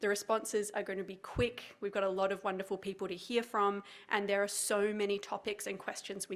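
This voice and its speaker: Fairly even intonation carries a woman's medium-pitched voice. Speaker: nonprofit executive director. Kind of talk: formal address. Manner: fast.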